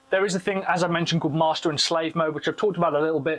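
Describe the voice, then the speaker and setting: A man's fairly high voice against noticeable background noise. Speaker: tech product reviewer. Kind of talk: product review tutorial. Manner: loud.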